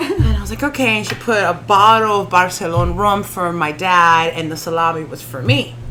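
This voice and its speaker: Over music in the background and audible room echo, a woman speaks in a fairly low voice at a fairly quick pace with hardly any pauses, lively intonation and big swings in loudness. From Miami (Kendall), Dominican-born. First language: Spanish. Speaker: stand-up comedian. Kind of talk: casual chat. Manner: animated.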